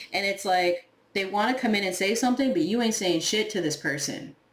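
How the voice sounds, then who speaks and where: Over noticeable background noise and audible room echo, a woman talks at a very fast pace. Her tone is animated, with ordinary pitch variation. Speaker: tarot reader. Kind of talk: tarot reading monologue. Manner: casual, animated; occasional stumbling.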